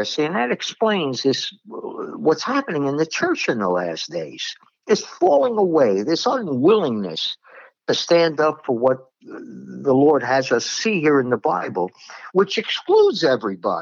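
A man speaks with a Brooklyn accent. His pace is fairly slow. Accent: New York (Brooklyn). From New York, Brooklyn. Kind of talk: religious discussion podcast. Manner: blunt, direct.

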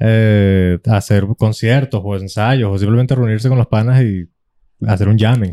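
In a Venezuelan accent, a man talks at a fairly slow pace with a fairly low pitch, a dark, mellow tone and fairly even intonation, recorded dry and close with no echo. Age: 20s. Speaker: podcast host. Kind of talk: casual chat.

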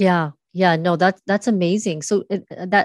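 A woman talks at a moderate pace with ordinary pitch variation, in an unremarkable speaking voice. The sound is dry and close with no echo, against a quiet background. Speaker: podcast host. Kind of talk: interview.

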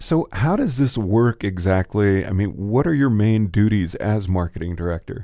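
A man speaks with hardly any pauses, his tone dark and mellow. His pitch is fairly low, with ordinary variation. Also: moderate pace. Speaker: radio host. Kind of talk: casual interview. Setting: studio.

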